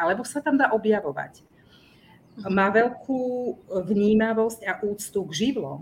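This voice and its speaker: The woman's voice holds a medium pitch, and its variation is ordinary. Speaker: family therapist and teacher. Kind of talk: casual interview.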